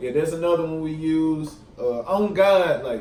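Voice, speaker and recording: In a Mississippi Delta accent, a man talks in a high pitch with ordinary pitch variation, and audible room echo surrounds his voice. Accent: Mississippi Delta Southern. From Mississippi Delta (Tunica). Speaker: YouTuber. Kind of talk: casual vlog. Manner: casual, many fillers.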